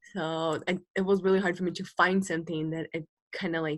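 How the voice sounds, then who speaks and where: A woman's voice, fairly low in pitch, with fairly even intonation. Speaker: university student. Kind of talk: self-assessment in team video meeting. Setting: video call. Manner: soft-spoken, trails off quieter; nervous, repetitive.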